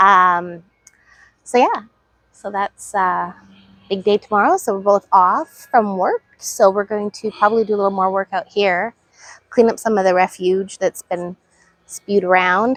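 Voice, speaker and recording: A woman with a western Canadian accent speaks at a fairly slow pace, leaving long, frequent pauses. Her medium-pitched voice has fairly even intonation and a dry, close sound with no echo. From British Columbia, Canada. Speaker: gardening vlogger. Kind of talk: casual chat. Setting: outdoors.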